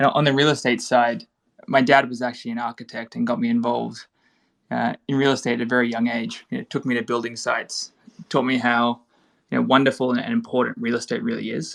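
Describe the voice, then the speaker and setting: A very fast pace in an Australian accent. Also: man. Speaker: real estate tokenization startup founder. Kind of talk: panel podcast discussion.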